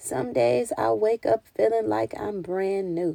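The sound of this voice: Putting on a character voice, a woman speaks slowly at a medium pitch with vocal fry, a dark, mellow tone and ordinary pitch variation, the sound dry and close with no echo.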